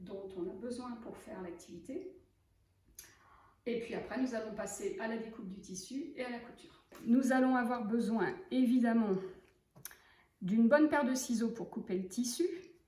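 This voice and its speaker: A woman with a fairly high voice speaks at a moderate pace with lively intonation, leaving long, frequent pauses amid audible room echo. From western France, Loire-Atlantique. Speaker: sewing teacher. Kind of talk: tutorial. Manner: relaxed, hesitant with fillers.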